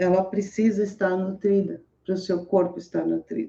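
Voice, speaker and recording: Dark, mellow female voice at a medium pitch. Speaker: motivational speaker reading scripture. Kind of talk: casual live talk with scripture reading and commentary. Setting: home room with open window, street noise.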